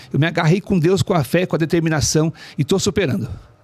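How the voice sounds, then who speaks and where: A man speaks at a very fast pace in a high pitch with lively intonation. The sound is dry and close, with no echo. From Brazil, São Paulo state (Ferraz de Vasconcelos). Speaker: author. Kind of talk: interview.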